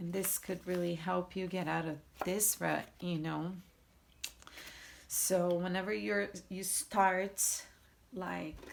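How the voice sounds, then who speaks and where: The speaker has a Portuguese accent and a very slow pace. Long, frequent pauses break up the speech. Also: woman, fairly low pitch for a woman, ordinary pitch variation. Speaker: tarot reader. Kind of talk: tarot reading. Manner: halting.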